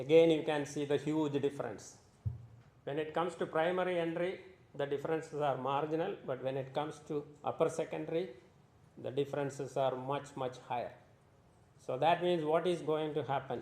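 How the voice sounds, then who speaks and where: A man speaks at a fairly quick pace with a fairly high pitch and fairly even intonation. His speech is broken by long, frequent pauses. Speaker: conference presenter. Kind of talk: conference presentation.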